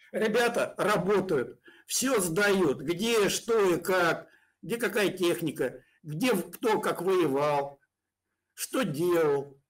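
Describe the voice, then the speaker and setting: Very slow, lively intonation at a very even loudness, over a quiet background. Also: man, high pitch for a man. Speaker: pro-Russian blogger. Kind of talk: heated debate. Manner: mocking, aggressive. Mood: hostile, taunting. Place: home room.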